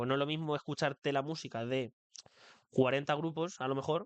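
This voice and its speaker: In a dry, close sound with no echo, a man talks at a fairly quick pace with fairly even intonation. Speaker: podcast host. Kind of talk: solo podcast monologue. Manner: fast; occasionally stumbling over words.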